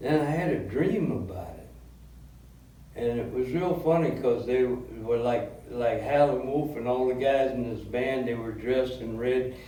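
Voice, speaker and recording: Medium-pitched male speech at a fairly slow pace, ordinary pitch variation and hardly any pauses, with audible room echo and noticeable background noise. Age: 70s. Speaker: blues musician and songwriter. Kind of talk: interview. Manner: halting, with fillers.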